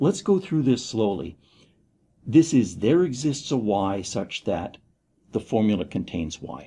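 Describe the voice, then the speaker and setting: A man with a fairly low pitch talks at a fairly slow pace in a dark, mellow, somewhat breathy tone, his pitch swinging very widely. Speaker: university lecturer. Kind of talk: lecture. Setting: recorded video lecture. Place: studio.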